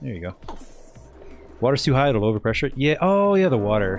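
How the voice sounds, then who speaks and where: A man talks with lively intonation while music plays in the background. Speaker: video game streamer. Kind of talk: casual chat. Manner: rambling with frequent fillers.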